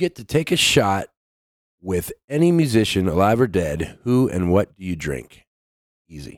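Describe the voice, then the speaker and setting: In a very clean recording with a silent background and a dry, close sound with no echo, a man speaks with very wide pitch swings. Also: moderate pace. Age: 40s. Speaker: metal band vocalist. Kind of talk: casual chat.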